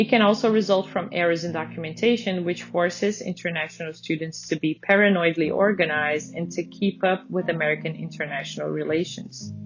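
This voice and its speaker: Someone with a non-native accent speaks at a fairly quick pace with hardly any pauses and ordinary pitch variation over noticeable background noise. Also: woman, fairly low pitch for a woman. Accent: foreign accent noticeable in English. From Brazil. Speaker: PhD student and museum intern coordinator. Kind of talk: reading aloud a personal essay. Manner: formal.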